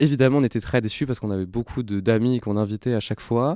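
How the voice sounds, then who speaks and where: A man's medium pitch with a dark, mellow tone and fairly even intonation at a very fast pace, dry and close with no echo, in a very clean recording with a silent background. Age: 20s. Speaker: nonprofit founder. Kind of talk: interview. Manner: halting.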